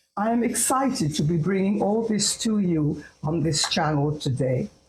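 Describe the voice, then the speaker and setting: Somewhat breathy, a woman speaks at a moderate pace with very wide pitch swings. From India, Calcutta. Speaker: psychologist. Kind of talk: talk to camera. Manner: formal.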